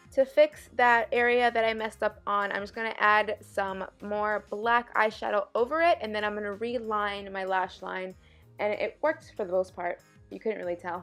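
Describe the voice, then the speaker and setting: Over music in the background, a woman talks at a moderate pace with a fairly high pitch and ordinary pitch variation. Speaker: beauty vlogger. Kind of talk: makeup tutorial voiceover.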